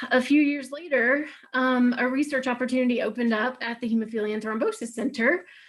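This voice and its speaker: A woman with a Southern US accent, moderate pace and fairly even intonation. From US South, Alabama. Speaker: clinical research staff. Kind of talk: webinar presentation. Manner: frequent filler words.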